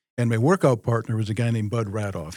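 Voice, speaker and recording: On a very clean recording with a silent background, a man speaks very fast. His pitch is medium and he has an American accent. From Minnesota, US Midwest. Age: 60s. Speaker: journeyman lineman, company president. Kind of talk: casual podcast interview. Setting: studio.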